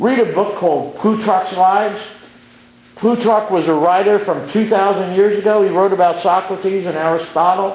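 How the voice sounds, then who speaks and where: Amid noticeable background noise and audible room echo, a high-pitched man speaks at a moderate pace with fairly even intonation. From Brooklyn, New York. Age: 60s. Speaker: community activist speaker. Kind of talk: public speech at community meeting. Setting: community meeting.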